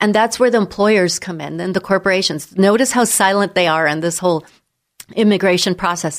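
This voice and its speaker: A woman with a plain, everyday voice and an American accent talks at a fairly quick pace and medium pitch with ordinary pitch variation, recorded very cleanly against a silent background. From San Diego, California. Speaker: immigration attorney. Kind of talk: radio interview.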